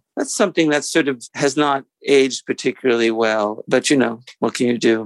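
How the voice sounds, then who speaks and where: A man talks in a plain, everyday voice at medium pitch and a moderate pace, with ordinary pitch variation, very even loudness, hardly any pauses, and a dry, close sound with no echo. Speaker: author. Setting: remote interview.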